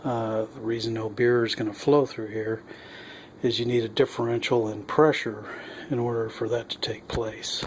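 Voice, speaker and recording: Medium-pitched man at a moderate pace, monotone and flat, with noticeable background noise. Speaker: homebrewer. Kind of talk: casual how-to demonstration. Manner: hesitant, many filler sounds.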